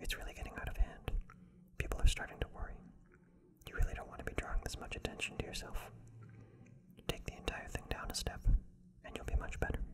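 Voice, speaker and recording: Soft-spoken and whispering, this voice moves at a very fast pace over light background noise. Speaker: tarot reader. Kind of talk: tarot reading monologue. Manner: soft ASMR whisper.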